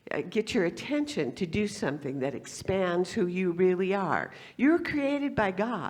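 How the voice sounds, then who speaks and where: A woman with a fairly low pitch speaks at a moderate pace, her pitch swinging very widely. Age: 70s. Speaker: guest speaker at spiritual center. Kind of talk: sermon. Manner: halting.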